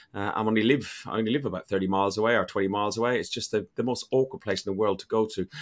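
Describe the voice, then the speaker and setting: A man with an Irish accent, fairly low pitch, ordinary pitch variation and a very fast pace, on a very clean recording with a silent background. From Ireland. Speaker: football podcast host. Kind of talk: casual chat.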